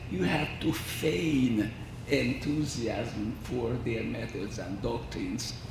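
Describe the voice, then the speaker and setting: Amid audible room echo and noticeable background noise, a man with a Hungarian accent speaks very slowly. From Hungary. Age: 80s+. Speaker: violin researcher. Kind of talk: lecture.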